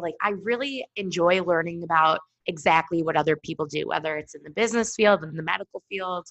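Ordinary pitch variation shapes a woman's medium-pitched speech. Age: 20s. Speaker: podcast co-host. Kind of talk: casual chat. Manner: animated.

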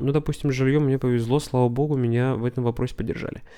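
Speaking at a fairly quick pace, a man with a medium pitch and a dark, mellow tone is heard on a very clean recording with a silent background. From Russia. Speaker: podcast host. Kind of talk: solo podcast monologue. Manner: casual.

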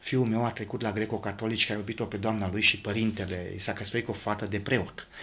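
His pitch sits fairly low, and his delivery moves at a fairly quick pace. The man's intonation stays monotone and flat. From Romania, Maramureș. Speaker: potter. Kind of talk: interview conversation. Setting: home pottery workshop.

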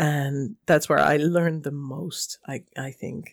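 A woman speaks at a fairly slow pace with a Dutch accent. The recording is very clean, with a silent background. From Netherlands. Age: 30s. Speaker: tabletop game master. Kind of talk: casual chat.

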